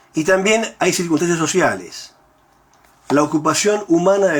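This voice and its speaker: Against noticeable background noise, a man speaks at a moderate pace with a fairly high pitch. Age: 60s. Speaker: university professor. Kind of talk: lecture. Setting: recorded at home.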